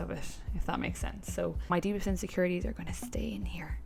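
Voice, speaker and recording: Against background music and audible room echo, a woman with a western Irish accent speaks at a very fast pace. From Ireland, County Clare (west of Ireland). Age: 20s. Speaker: lifestyle vlogger. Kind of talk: casual Q&A vlog. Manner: chatty, conversational.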